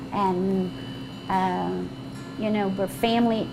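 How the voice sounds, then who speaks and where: A woman with medium pitch speaks over music in the background. Audible room echo surrounds her voice. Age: 60s. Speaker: restaurant owner and cook. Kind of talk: casual cooking demonstration and interview.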